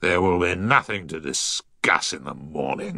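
In a very deep, low put-on character voice, a man speaks at a moderate pace.

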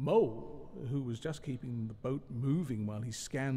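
The speech is plain reading aloud with ordinary pitch variation.

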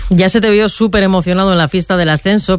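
A man talks at a fast pace with a high pitch. His pitch variation is ordinary.

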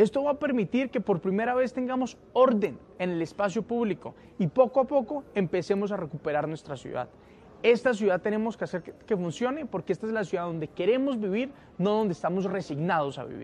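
Lively intonation rides on a slightly mellow tone, with few pauses along the way. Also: man, high pitch for a man, fairly quick pace.

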